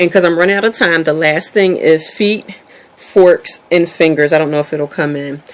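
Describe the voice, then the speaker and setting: A woman with a fairly low pitch talks at a moderate pace against noticeable background noise. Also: fairly even intonation. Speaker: vlogger sharing weight loss journey. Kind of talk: casual vlog monologue. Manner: hesitant, many ums.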